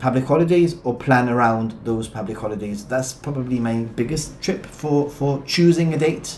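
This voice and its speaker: With ordinary pitch variation, a man speaks amid audible room echo. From Gibraltar. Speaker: travel vlogger. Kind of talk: live stream chat, reading viewer questions. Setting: live stream.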